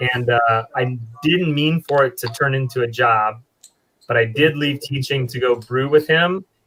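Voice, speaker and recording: A man speaks at a moderate pace with an American accent. His pitch is medium, with ordinary variation. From US Midwest, eastern Iowa. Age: 40s. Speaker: brewer. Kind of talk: casual chat.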